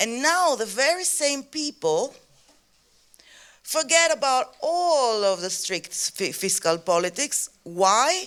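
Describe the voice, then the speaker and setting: A woman with a Greek accent speaks very slowly in a high voice, her pitch swinging very widely. The recording is very clean, with a silent background. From Greece. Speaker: activist. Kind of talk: panel talk. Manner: halting.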